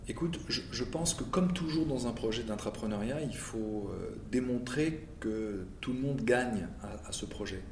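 Audible room echo surrounds a man speaking at medium pitch and a fairly slow pace with lively intonation. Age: 50s. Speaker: car industry manager. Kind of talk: interview. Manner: halting, many repetitions and fillers.

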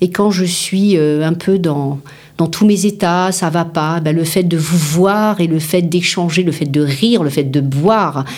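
Audible room echo surrounds a woman with a fairly low pitch who speaks at a very slow pace with ordinary pitch variation. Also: very even loudness. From Paris, France. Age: 50s. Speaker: business founder and CEO. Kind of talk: interview.

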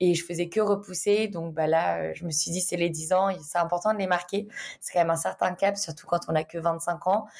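A woman talks at a moderate pace in an unremarkable speaking voice, fairly low in pitch, with fairly even intonation. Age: 20s. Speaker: business manager. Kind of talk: casual interview.

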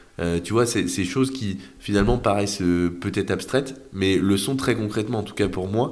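This man talks fairly quickly. His voice is fairly low in pitch. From France, Orléans area then Brittany. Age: 20s. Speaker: young real estate investor and entrepreneur. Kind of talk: casual interview. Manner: hesitant, many fillers.

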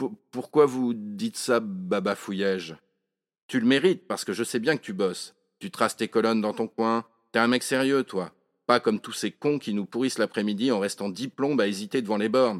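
On a very clean recording with a silent background and a dry, close sound with no echo, a man speaks at a moderate pace in an animated tone with ordinary pitch variation. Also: medium pitch for a man. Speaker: author reading own monologue. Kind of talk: dramatic first-person narration of a comic monologue, read aloud with character dialogue. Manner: animated, wry and colloquial, with a storyteller's comic timing; shifts into voices for the characters' dialogue.

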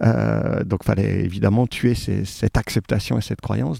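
A man's very deep, low voice with a dark, mellow tone and vocal fry, lively intonation at a fairly quick pace, in a dry, close sound with no echo. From France, Saint-Étienne. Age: 40s. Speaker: rugby club president. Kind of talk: interview. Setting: at guest's home.

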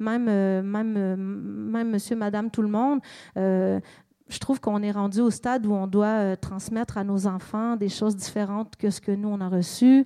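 The woman's voice has a dark, mellow tone and a monotone, flat intonation. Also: medium pitch for a woman, moderate pace. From Quebec, Montreal. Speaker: singer-songwriter. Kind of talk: public interview.

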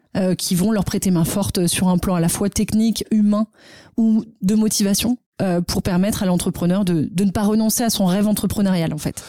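On a very clean recording with a silent background, a woman speaks in a dark, mellow tone. Her intonation is fairly even and her loudness very even. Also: medium pitch for a woman, moderate pace. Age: 30s. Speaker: nonprofit director and cofounder. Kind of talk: interview. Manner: hesitant with fillers.

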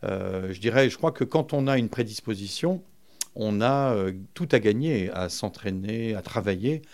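A very slow pace with lively intonation. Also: man, medium pitch for a man. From France, Vincennes. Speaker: book publisher, festival founder. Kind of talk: interview. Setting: publisher's office.

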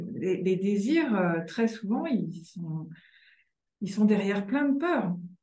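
Long, frequent pauses break up a woman's very slow speech, which has a medium pitch and lively intonation, with room echo audible. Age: 40s. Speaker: author and journalist. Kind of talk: interview conversation.

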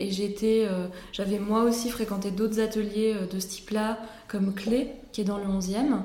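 A woman speaks very slowly at a medium pitch. Noticeable background noise and audible room echo surround her voice. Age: 30s. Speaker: pottery studio owner. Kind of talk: interview. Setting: pottery studio. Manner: halting.

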